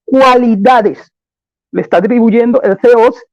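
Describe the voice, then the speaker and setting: Pitched extremely high, a man's voice still carries a dark, mellow tone. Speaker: apologist in a debate. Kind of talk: formal debate.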